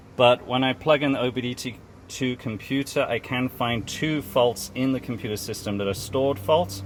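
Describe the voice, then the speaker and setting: Speaking with ordinary pitch variation, a man's voice lands at a medium pitch. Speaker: mechanic. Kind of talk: tutorial. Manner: fast.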